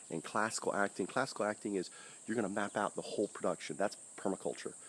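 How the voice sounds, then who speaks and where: A soft-spoken man with a fairly low pitch, talking at a very fast pace. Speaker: permaculture gardener and channel host. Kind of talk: casual outdoor video talk. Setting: outdoors in garden. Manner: soft-spoken, talking low.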